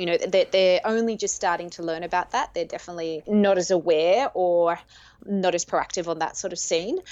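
In an Australian accent, a woman speaks at a medium pitch, at a fairly quick pace, with fairly even intonation. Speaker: dating coach. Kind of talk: interview. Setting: remote call.

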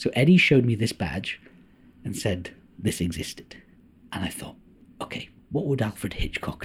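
Somewhat breathy, a man speaks at a moderate pace and a fairly low pitch, his pitch swinging very widely, with long, frequent pauses. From North Wales (Anglesey). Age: 40s. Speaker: actor, producer and film director. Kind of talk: casual interview.

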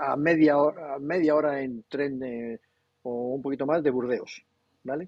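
A fairly high-pitched man at a moderate pace. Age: 60s. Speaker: comics publisher. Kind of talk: casual interview. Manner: animated.

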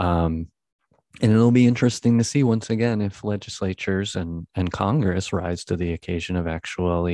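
In an ordinary speaking voice, a man talks at a moderate pace with ordinary pitch variation over a quiet background. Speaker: podcast host. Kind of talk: casual podcast discussion.

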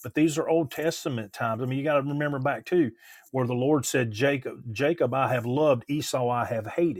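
A man with a plain, everyday voice speaks at a fairly quick pace, his fairly high pitch showing ordinary variation. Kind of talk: religious discussion. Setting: video call.

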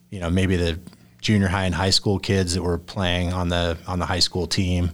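Recorded very cleanly with a silent background, a man talks in a very deep, low pitch. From southern Idaho, US. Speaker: golfer. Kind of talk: interview. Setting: studio.

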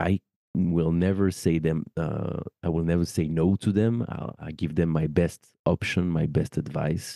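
In a French accent, a man speaks with a very deep, low pitch and fairly even intonation. His pace is fairly slow, and the sound is dry and close with no echo. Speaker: wedding celebrant and podcast host. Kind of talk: casual interview chat.

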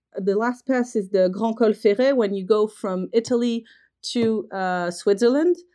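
Against a quiet background, a woman with a French accent speaks at a moderate pace in a fairly high pitch with a dark, mellow tone and ordinary pitch variation. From France. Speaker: trekking company representative. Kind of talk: interview. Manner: hesitant, frequent fillers.

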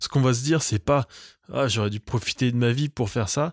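Over a very clean recording with a silent background, a man speaks at medium pitch with ordinary variation, the sound dry and close with no echo. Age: 30s. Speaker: podcast host. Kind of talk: comedic solo monologue. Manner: halting, many filler hesitations.

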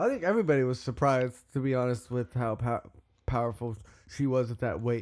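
With an American accent and a plain, everyday voice, a man talks at a fairly quick pace and medium pitch with ordinary pitch variation. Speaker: musician, singer in a band. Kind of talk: casual chat.

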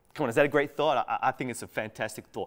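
A man talks in an Australian accent. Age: 40s. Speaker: pastor. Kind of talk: sermon. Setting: recorded for online church.

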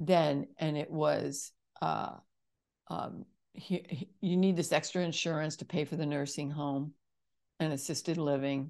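Against a quiet background, a woman with a very deep, low pitch speaks at a fairly slow pace, using fairly even intonation and long, frequent pauses. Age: 60s. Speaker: healing musician and vocalist. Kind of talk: casual interview chat.

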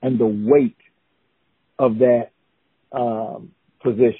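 A man speaks with a South Carolina accent. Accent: Southern US (South Carolina). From US South, South Carolina (Newberry). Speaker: college educator, former college basketball player. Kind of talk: casual interview. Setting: call.

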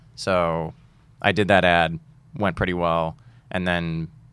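Recorded very cleanly against a silent background, a man speaks with an American accent. His pitch is very deep and low. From Boston. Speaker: stand-up comedian. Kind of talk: casual chat.

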